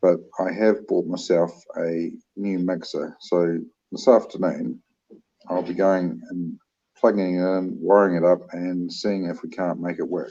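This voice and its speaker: A man with a New Zealand accent talks at a fairly slow pace. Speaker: livestream co-host. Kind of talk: casual livestream chat.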